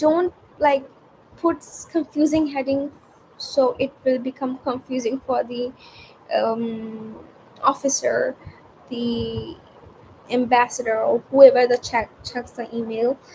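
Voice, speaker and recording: Amid noticeable background noise, a high-pitched woman talks at a very slow pace with long, frequent pauses and ordinary pitch variation. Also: big swings in loudness. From India. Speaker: student vlogger. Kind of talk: casual unscripted vlog. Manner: halting.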